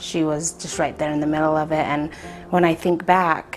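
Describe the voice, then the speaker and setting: The speech is monotone and flat, at a moderate pace, with noticeable background noise. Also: woman. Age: 30s. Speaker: domestic violence survivor. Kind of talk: documentary interview testimony. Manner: halting.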